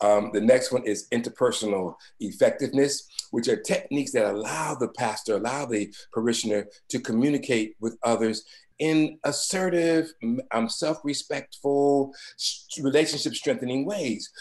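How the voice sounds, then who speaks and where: Moving at a moderate pace, a man uses a plain, everyday voice with ordinary pitch variation. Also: medium pitch for a man. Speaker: webinar speaker on pastoral care. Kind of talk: webinar presentation.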